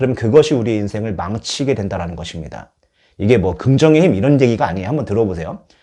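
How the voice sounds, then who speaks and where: Over a quiet background, a man with a dark, mellow tone talks very fast. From Chungcheong, South Korea. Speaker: youth pastor. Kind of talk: sermon. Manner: animated.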